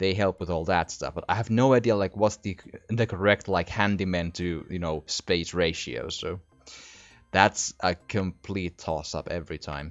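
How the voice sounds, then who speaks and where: Over music in the background, a man with a very deep, low pitch speaks at a moderate pace with ordinary pitch variation. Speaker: gaming commentator. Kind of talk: casual let's play commentary.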